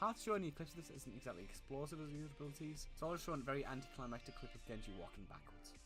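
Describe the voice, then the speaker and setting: Music plays in the background as a man talks very fast, with a fairly high pitch and lively intonation. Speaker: gaming streamer. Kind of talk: scripted game tutorial narration. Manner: some stuttering.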